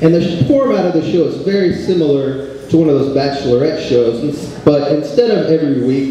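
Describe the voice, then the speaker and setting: Strong room echo and light background noise surround a man with a fairly high pitch. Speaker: stand-up comedian. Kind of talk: stand-up comedy. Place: stage.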